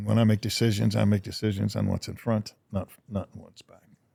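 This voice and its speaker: At a fairly quick pace, a man speaks in a fairly low pitch with a dark, mellow tone and monotone, flat intonation. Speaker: Vietnam war veteran. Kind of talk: casual chat. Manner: loud.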